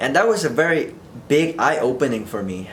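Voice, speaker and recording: With an American accent, a man speaks at a fairly high pitch over noticeable background noise and audible room echo. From Vietnam, rural area, moved to US at age eight. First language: Vietnamese. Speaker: vlogger. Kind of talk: casual unscripted monologue. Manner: halting, unscripted.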